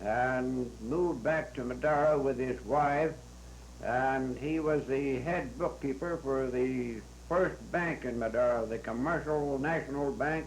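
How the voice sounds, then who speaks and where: A man with an American accent talks at a fairly slow pace, his pitch medium. His pitch variation is ordinary, and background noise is noticeable. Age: 80s+. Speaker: former county supervisor. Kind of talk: oral history interview. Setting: old audio tape. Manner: hesitant, slow.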